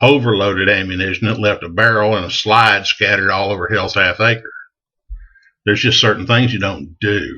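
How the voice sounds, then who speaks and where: A man with a Texan accent at a fairly quick pace, with fairly even intonation. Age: 60s. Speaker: gun enthusiast vlogger. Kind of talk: casual advice monologue. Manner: folksy, conversational.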